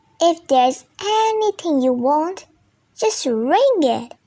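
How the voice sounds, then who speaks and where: This is a put-on character voice that sounds squeaky. It goes at a fairly slow pace. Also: woman, extremely high pitch for a woman. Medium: read story.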